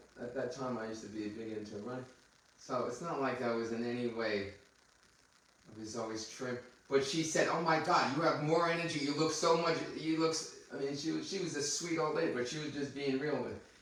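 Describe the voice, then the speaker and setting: At a fairly quick pace, a man with a fairly high pitch and ordinary pitch variation talks amid noticeable background noise and audible room echo. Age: 60s. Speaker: podcast host, anti-aging doctor. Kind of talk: casual chat.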